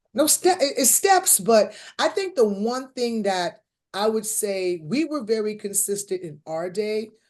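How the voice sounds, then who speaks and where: Against a quiet background, a woman with a normal speaking voice and a fairly high pitch speaks at a fairly slow pace with lively intonation. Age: 50s. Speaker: comedian and actress. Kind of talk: casual interview.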